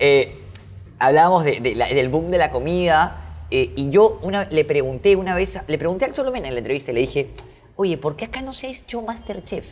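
Very wide pitch swings in a man's fairly high-pitched voice, delivered at a fairly quick pace. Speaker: podcast host. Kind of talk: casual interview chat.

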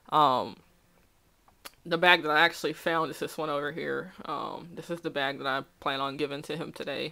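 A woman speaks with a very deep, low pitch. Her tone is bright and sharp, her intonation monotone and flat. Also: moderate pace. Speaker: vlogger. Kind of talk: casual talk to camera. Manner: hesitant, many filler words. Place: home room. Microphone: webcam.

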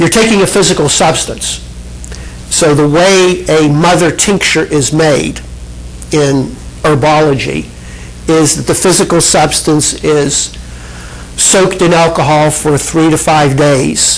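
A man at a fairly slow pace, with fairly even intonation and very even loudness. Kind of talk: lecture. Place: hall. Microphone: handheld.

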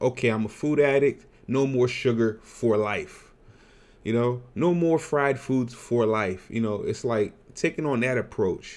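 A man with lively intonation talks at a fairly slow pace. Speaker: weight loss vlogger. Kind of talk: casual vlog chat. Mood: earnest, sometimes laughing. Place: home room. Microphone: webcam.

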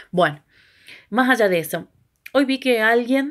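Pitch varies in an ordinary way, and the background stays quiet. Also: woman. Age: 40s. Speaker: video blogger. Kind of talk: personal reflection monologue. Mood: reflective, upbeat. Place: home room. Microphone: phone near.

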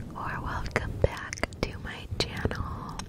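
Loud background noise accompanies a woman's voice, which sounds dry with no echo. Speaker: ASMR creator. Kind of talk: soft-spoken ASMR roleplay. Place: home room. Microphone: studio mic.

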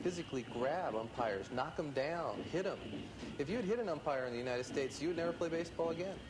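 Over noticeable background noise, a man with an American accent talks very fast with lively intonation. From US Midwest, Kansas City. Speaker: professional baseball player. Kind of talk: interview. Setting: outdoors. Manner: halting.

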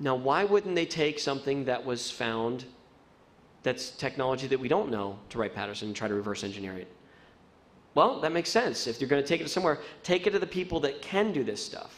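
A man with an American accent, fairly high-pitched, with very wide pitch swings and a fairly quick pace. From US Mid-Atlantic, Baltimore; Maryland. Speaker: TV producer; guest. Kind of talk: lecture. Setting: stage with audience. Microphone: podium.

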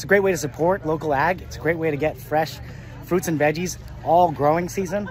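A man talks at a fairly quick pace with ordinary pitch variation. The sound is dry with no echo, and faint music plays in the background. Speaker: local food vlogger. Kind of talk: casual vlog chat. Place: garden. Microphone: phone near.

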